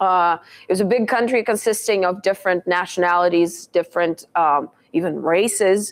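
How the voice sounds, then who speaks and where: This woman speaks with a Russian accent at a moderate pace. Her pitch sits in the middle of her range and moves in an ordinary way. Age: 30s. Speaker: motivational speaker. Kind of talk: talk to a live audience. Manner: frequent hesitations (um, uh).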